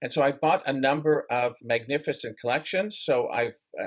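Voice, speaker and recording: A man, speaking in a normal speaking voice, keeps his pitch fairly high with ordinary variation and a moderate pace. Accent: Canadian. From Canada. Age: 60s. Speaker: memorabilia collector. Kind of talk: interview.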